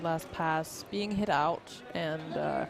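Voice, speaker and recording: A woman with a Danish accent and a fairly low pitch at a very slow pace, with music in the background and audible room echo. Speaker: roller derby commentator. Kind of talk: live commentary.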